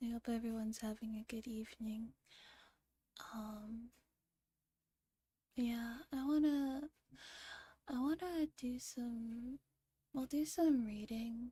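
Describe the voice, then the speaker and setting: Soft-spoken delivery moves at a very slow pace, broken by long, frequent pauses. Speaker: streamer. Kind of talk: casual chat. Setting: livestream.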